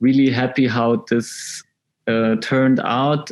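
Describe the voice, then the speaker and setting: Music plays in the background as a man speaks at a fairly slow pace with fairly even intonation. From Switzerland, near Zurich. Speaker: film student, director. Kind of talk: online interview.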